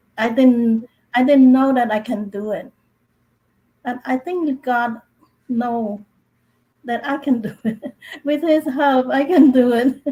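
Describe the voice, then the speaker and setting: A woman's high-pitched voice with a dark, mellow tone, a Cambodian accent and a very slow pace. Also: fairly even intonation. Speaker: author, speaker and coach. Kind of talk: panel discussion. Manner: halting, repeats words.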